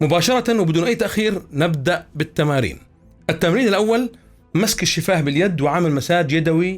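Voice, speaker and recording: Music plays behind a man speaking at a moderate pace in a high pitch. His intonation is lively, and his loudness stays very even. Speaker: voice-over artist and voice coach. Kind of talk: voice training tutorial.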